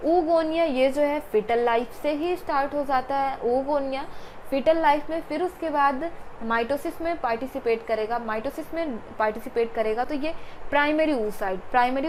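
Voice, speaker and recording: Audible room echo around a woman speaking high in pitch. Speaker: biology teacher. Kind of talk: lecture. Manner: repetitive, emphatic teaching.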